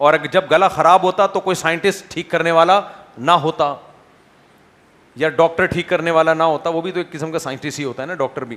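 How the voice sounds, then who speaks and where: Pitched high for a man, this male voice keeps a fairly even intonation. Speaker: Islamic scholar giving a sermon. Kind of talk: Islamic sermon (bayan) delivered to a live audience. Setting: lecture hall with microphone. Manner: conversational, rhetorical questions to audience.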